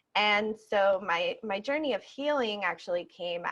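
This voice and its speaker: A woman speaks with a Spanish accent. Her pitch variation is ordinary, and the background is quiet. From Puerto Rico. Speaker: yoga instructor and activist. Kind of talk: interview. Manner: hesitant, many fillers.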